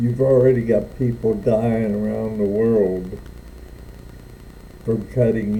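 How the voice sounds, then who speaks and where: A man speaks with a dark, mellow tone and fairly low pitch. His intonation is fairly even, with long, frequent pauses and audible room echo. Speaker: Navy veteran. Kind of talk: political rant vlog.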